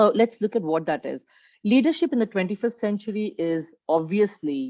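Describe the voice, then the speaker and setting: A woman uses an ordinary speaking voice at a moderate pace. Her intonation is lively. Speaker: leadership coach. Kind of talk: webinar presentation.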